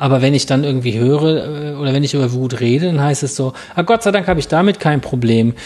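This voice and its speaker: With an unremarkable speaking voice, a man talks at a fairly quick pace and fairly high pitch, with ordinary pitch variation over a quiet background. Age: 40s. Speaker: barefoot running coach. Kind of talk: casual interview. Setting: in person at the academy.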